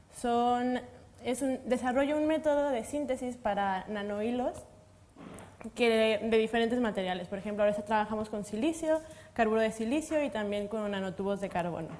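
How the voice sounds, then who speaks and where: A woman's fairly high pitch at a moderate pace, with ordinary pitch variation. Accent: Mexican. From Mexico. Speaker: materials science researcher. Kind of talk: panel discussion.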